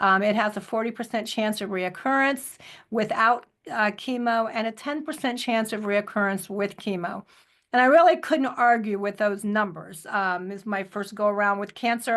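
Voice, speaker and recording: Her pitch is fairly high, with ordinary variation, as a woman talks at a moderate pace in a normal speaking voice. The background is quiet. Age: 60s. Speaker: cancer survivor, product advocate. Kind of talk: testimony. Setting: audio chat.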